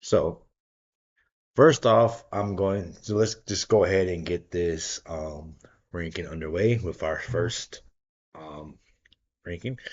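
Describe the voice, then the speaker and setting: A man puts on a raspy character voice with a very deep, low pitch and ordinary pitch variation. He speaks at a fairly slow pace with long, frequent pauses. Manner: sluggish, tired.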